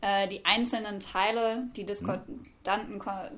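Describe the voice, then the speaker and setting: A woman uses a normal speaking voice at a medium pitch, keeping her intonation fairly even. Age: 20s. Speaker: university student. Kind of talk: academic discussion.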